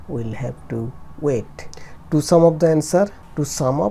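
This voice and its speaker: Music plays in the background. A woman speaks at a very deep, low pitch. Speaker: driving instructor. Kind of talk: driving commentary tutorial. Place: car.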